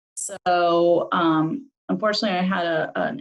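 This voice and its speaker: Her voice sits fairly low in pitch. This woman's pitch shifts in an ordinary way. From California, Sonoma County in teens. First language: German. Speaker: financial advisor. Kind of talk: interview.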